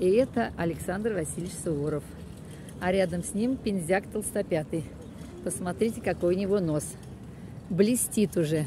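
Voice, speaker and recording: Amid noticeable background noise, a woman speaks at a moderate pace with ordinary pitch variation and long, frequent pauses, the sound dry with no echo. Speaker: local walking guide. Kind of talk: casual guided-tour commentary. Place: street. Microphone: phone near.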